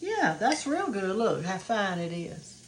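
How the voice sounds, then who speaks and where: A woman in a Southern US accent, speaking fairly slowly with very wide pitch swings over noticeable background noise. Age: 70s. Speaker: cooking video host. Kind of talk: cooking tutorial. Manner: casual, chatty.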